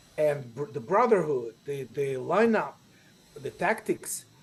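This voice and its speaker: Delivered at a fairly slow pace, this voice has lively intonation and a Ukrainian accent. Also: man. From Ukraine. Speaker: improviser and teacher. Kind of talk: interview.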